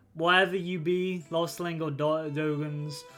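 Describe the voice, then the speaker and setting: A creaky, put-on character voice from a man, fairly high in pitch, at a moderate pace over clear music in the background. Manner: mumbling, suspicious.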